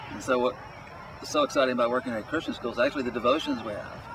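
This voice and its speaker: Over noticeable background noise, a man speaks very fast. He has an American accent. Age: 60s. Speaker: teacher. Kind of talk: interview testimony.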